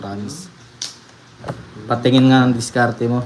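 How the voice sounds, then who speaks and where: Amid noticeable background noise and audible room echo, a man speaks at a medium pitch and a fairly quick pace. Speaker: livestreamer playing card games. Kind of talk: live stream chat. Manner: trembling.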